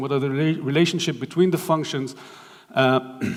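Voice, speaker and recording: In a room with audible echo, a man with a fairly high pitch speaks at a fairly quick pace and fairly even intonation. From Israel. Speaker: architect. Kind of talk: lecture. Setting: stage with audience. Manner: halting, many fillers.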